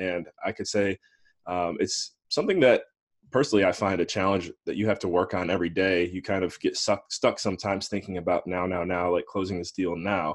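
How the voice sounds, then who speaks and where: Over a quiet background, a man speaks with a very deep, low pitch. He moves at a fairly quick pace with fairly even intonation. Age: 20s. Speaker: investor relations specialist and podcast host. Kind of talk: interview.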